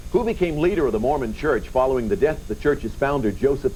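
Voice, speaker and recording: Over music in the background, a man talks at a fairly quick pace. His tone is upbeat. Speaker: game show host. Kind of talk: game show hosting, upbeat banter with contestants and audience. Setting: TV studio with live audience. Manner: upbeat, friendly, jovial.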